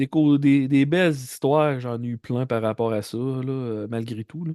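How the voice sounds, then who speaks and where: A man with a Quebec accent talks at a medium pitch with fairly even intonation and a dark, mellow tone. The sound is dry and close with no echo, and the background is quiet. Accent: Québécois French. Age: 40s. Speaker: comedian. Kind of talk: casual interview chat.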